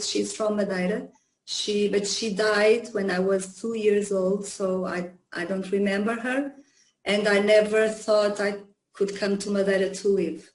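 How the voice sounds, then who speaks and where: A woman with a Portuguese accent speaks at a fairly slow pace in a medium pitch, her intonation monotone and flat. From Portugal, Lisbon. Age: 50s. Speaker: psychologist and yoga teacher. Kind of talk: interview. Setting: video call. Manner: halting, many fillers.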